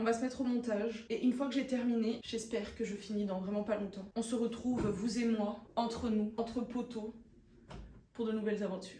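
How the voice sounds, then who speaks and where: Fairly high in pitch and fairly quick in pace, a woman speaks with monotone, flat intonation amid audible room echo. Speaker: vlogger. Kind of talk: casual vlog talk to camera.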